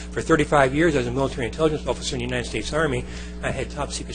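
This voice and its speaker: The speech comes at a very fast pace, with audible room echo and music in the background. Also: man. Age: 70s. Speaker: planning commission applicant, retired army officer. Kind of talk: public comment and interview at council meeting. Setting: city council meeting. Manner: formal.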